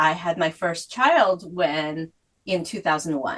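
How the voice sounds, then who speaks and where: A woman with a Korean accent speaks at a very slow pace. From South Korea, moved to US at eleven. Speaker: author. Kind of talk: interview.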